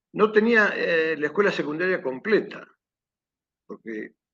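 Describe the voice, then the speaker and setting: A man's bright, sharp tone with an Argentine accent and lively intonation. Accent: Rioplatense Argentine Spanish. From Argentina, Buenos Aires province. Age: 60s. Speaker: war veteran. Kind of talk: testimony. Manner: hesitant, digressive with many fillers.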